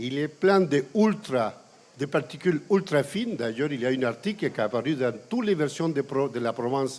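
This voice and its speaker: A man with a Chilean accent, at a fairly slow pace with lively intonation. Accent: Chilean Spanish accent in French, kept. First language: Spanish (speaking French). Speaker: environmental campaigner and lecturer. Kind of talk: panel talk.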